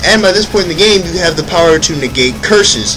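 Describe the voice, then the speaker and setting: A man at a fairly quick pace, with audible room echo and music in the background. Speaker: gaming video commentator. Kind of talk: let's play commentary. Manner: casual, self-correcting.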